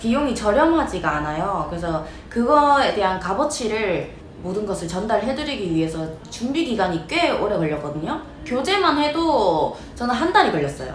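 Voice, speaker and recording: A woman with a Gyeongsang accent at a moderate pace, her pitch swinging very widely, with audible room echo and noticeable background noise. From South Korea, Ulsan (Gyeongsang). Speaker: eyelash perm salon owner and instructor. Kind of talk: casual vlog talk to camera. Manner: casual, with many fillers.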